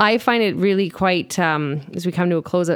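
An unremarkable speaking voice at a moderate pace with fairly even intonation, on a very clean recording with a silent background. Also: woman. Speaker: writer and co-host. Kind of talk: casual conversational interview.

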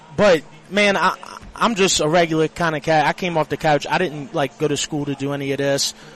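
The speech moves at a fairly quick pace with ordinary pitch variation against noticeable background noise. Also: man. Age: 30s. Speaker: sports social media personality. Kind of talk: casual radio interview. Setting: live at a casino sportsbook.

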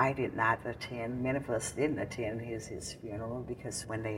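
A woman with an American accent and a very deep, low pitch, at a moderate pace over noticeable background noise. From Mississippi, US South. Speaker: civil rights veteran. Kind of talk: oral history interview. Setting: recorded in Jackson, Mississippi. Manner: halting.

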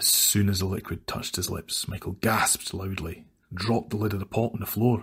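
This is an unforced reading voice. The intonation is fairly even.

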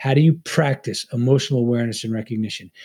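A man's dark, mellow, somewhat breathy voice with an American accent. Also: very clean recording, silent background. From Long Island, New York. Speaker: former Navy SEAL and FBI agent, leadership author. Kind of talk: interview conversation.

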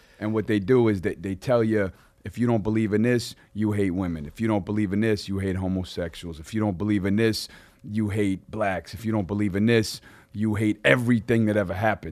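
Speaking fairly quickly with a Long Island accent, the man keeps a fairly low pitch and fairly even intonation. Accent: New York (Long Island). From Long Island, New York. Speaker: rapper. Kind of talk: casual chat. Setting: studio.

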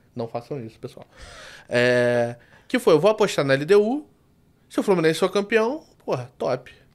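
A man's high-pitched voice in a Rio de Janeiro accent, with very wide pitch swings, big swings in loudness, a moderate pace and long, frequent pauses. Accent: carioca. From Rio de Janeiro, Brazil. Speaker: sports betting tipster. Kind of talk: casual interview.

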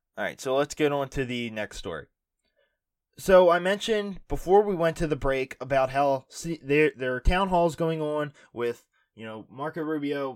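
An unremarkable speaking voice at a moderate pace, with ordinary pitch variation and big swings in loudness, in a dry, close sound with no echo and a very clean recording over a silent background. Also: man, fairly high pitch for a man. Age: 20s. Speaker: political podcast host. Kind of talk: solo news commentary podcast.

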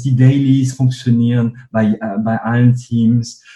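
A man speaks with a dark, mellow tone and a somewhat breathy quality. His intonation stays flat and monotone. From northern France. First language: French (speaking German). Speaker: company co-founder and CEO. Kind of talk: interview.

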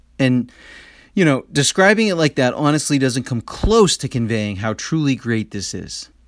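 On a very clean recording with a silent background, a man at a medium pitch talks at a moderate pace with very wide pitch swings. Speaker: podcast host. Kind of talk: guided meditation.

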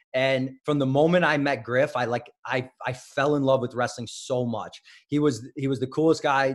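The speaker is a man with an American accent. He talks in a monotone, flat intonation. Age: 30s. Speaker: wrestling coach. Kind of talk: interview. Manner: halting.

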